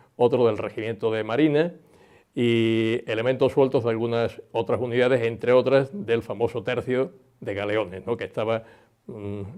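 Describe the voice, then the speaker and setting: Against a quiet background, a man at medium pitch speaks at a moderate pace with ordinary pitch variation. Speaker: naval history expert. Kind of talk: interview answer. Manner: hesitant, unscripted.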